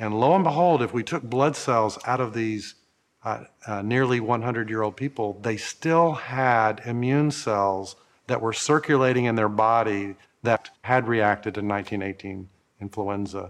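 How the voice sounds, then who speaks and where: A man uses a normal speaking voice at a medium pitch with ordinary pitch variation. He keeps a moderate pace. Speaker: infectious disease researcher. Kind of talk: interview.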